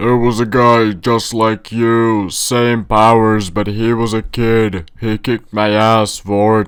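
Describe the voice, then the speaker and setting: Putting on a character voice, a man speaks at medium pitch and a fairly slow pace in a flat monotone, with hardly any pauses. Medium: read story.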